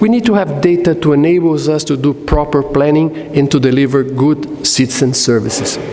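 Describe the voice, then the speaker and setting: A man talks at a moderate pace with ordinary pitch variation. Noticeable background noise and audible room echo surround his voice. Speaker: conference speaker on smart cities. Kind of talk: conference presentation. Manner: hesitant, frequent uh fillers.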